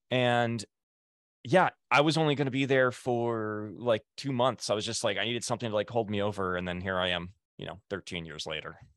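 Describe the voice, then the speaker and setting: Against a quiet background with a dry, close sound and no echo, a man of medium pitch talks fairly quickly in an ordinary speaking voice with ordinary pitch variation. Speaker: podcast host, former TMZ field producer. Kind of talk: casual interview podcast. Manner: casual, conversational, chatty.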